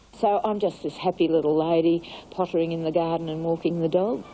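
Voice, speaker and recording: Fairly even intonation from a woman with an Australian accent, fairly low in pitch, at a fairly quick pace. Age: 60s. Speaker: aerobics instructor. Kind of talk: interview.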